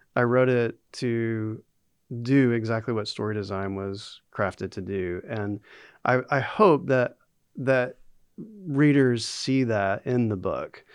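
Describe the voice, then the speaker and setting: A man talks very slowly, with a quiet background behind him. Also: medium pitch for a man, ordinary pitch variation. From US South, North Carolina. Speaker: author and instructional designer. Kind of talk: interview.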